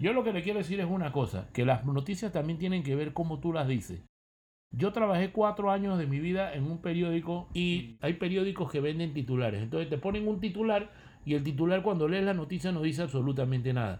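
Talking at a fairly quick pace, a man with a high pitch uses lively intonation. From Panama. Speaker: retired salesman and former consul. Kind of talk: casual chat. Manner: soft-spoken; halting.

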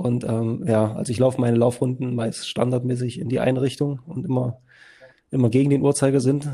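Very fast speech comes from a man. His intonation is fairly even. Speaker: podcast co-host. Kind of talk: casual interview.

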